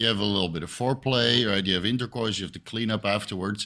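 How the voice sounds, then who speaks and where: A man with a Dutch accent and a bright, sharp tone at a fairly quick pace, in a very clean recording with a silent background. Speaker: health discussion guest. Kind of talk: casual podcast discussion.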